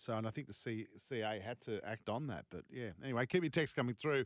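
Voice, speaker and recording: A man with an Australian accent at a moderate pace, lively in intonation, in a dry, close sound with no echo. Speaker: sports radio host. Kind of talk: casual radio chat. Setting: studio. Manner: animated.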